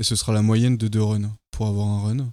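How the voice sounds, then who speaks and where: On a very clean recording with a silent background, a man speaks fairly slowly in a dark, mellow tone with monotone, flat intonation. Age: 20s. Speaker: engineering apprentice, project leader. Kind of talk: interview. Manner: halting.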